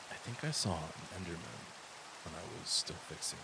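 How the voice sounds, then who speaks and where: A man speaks quietly at a moderate pace. Noticeable background noise runs beneath him. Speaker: gaming commentator. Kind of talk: quiet gameplay commentary for sleep. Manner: hushed, quiet.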